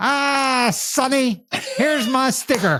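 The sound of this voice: The speaker uses a high-pitched, put-on character voice and goes at a very slow pace.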